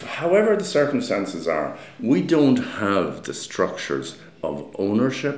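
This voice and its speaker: With an Irish accent, a man talks in a room with audible echo and noticeable background noise. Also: fairly slow pace. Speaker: architect. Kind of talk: interview. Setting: meeting room.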